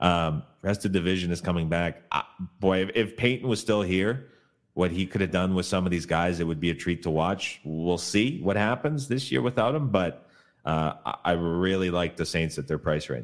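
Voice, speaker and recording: A man with a Canadian accent speaks at a moderate pace in a very deep, low voice. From Canada. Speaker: professional sports bettor. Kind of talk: casual sports betting interview.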